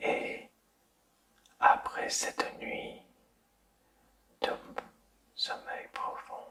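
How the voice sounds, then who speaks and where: Very slow speech in a soothing tone comes through with noticeable background noise. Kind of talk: ASMR sleep-inducing guided relaxation, whispered to the listener. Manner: soft, slow, soothing, whispered.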